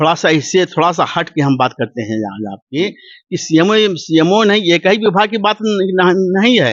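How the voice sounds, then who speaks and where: Lively intonation at a moderate pace, with hardly any pauses. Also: man, high pitch for a man. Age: 70s. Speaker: retired government doctor. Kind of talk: interview. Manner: halting, frequent stutters and repetitions.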